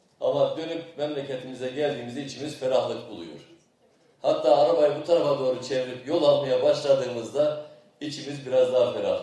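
A man at a fairly quick pace, with big swings in loudness and strong room echo. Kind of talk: ceremonial speech. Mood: warm, praising. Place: open country. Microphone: podium.

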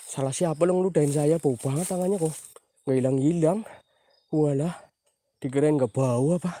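Fairly high in pitch, a man's voice carries a dark, mellow tone with ordinary pitch variation. He speaks at a fairly quick pace, the sound dry with no echo. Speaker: paranormal explorer streamer. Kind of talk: live stream night exploration. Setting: outdoors at night after rain. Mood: tense, spooky, half joking. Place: forest. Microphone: phone near.

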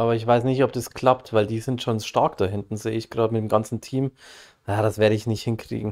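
A man speaks at a very fast pace in monotone, flat intonation. The recording is very clean with a silent background. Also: medium pitch for a man. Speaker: gaming streamer. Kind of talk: casual chat.

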